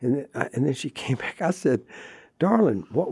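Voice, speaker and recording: Somewhat breathy, a man's dark, mellow tone in a dry, close sound with no echo. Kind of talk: interview. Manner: animated.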